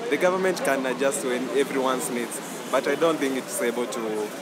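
A man speaks at a fairly slow pace with ordinary pitch variation over loud background noise. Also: dry sound with no echo. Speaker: interviewee. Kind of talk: interview answer. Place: street.

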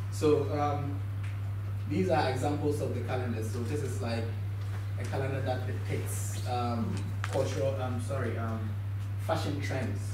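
Against noticeable background noise and audible room echo, a man with a Ghanaian accent speaks at a fairly low pitch and a fairly slow pace, in monotone, flat intonation with long, frequent pauses. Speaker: visual artist. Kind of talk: symposium talk about own work. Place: classroom.

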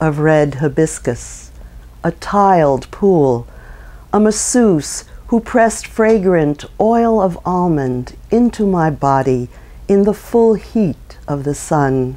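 A woman speaks at a very slow pace in a very deep, low pitch with a dark, mellow tone. Her intonation is lively while her loudness stays very even. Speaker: poet. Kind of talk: poetry reading. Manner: measured, contemplative, gently expressive; warm, unhurried.

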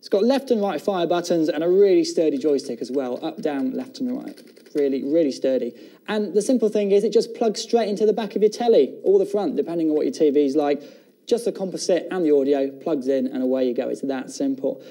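A man's high-pitched, dark, mellow voice at a fairly quick pace, with very wide pitch swings, hardly any pauses and a quiet background. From England. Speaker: TV shopping presenter. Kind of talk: TV shopping channel product presentation. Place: studio.

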